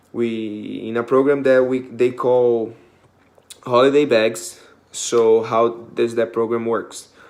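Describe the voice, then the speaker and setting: With a non-native accent, a man speaks at a very slow pace in a monotone, flat intonation. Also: medium pitch for a man. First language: not English. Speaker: student volunteer. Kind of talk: class presentation. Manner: hesitant, many fillers.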